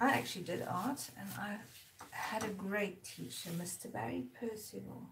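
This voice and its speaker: A woman talks at a moderate pace in a relaxed tone, with audible echo in the room and noticeable background noise. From South Africa, Durban. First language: Zulu. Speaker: artist. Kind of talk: casual live-stream chat while painting. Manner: relaxed, chatty.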